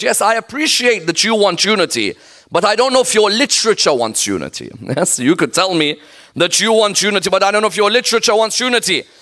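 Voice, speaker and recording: A man's very fast, raised and projected voice, high in pitch and animated, bright and sharp in tone, with ordinary pitch variation. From Iraq. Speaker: Islamic scholar and preacher. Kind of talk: sermon. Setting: mosque with live audience.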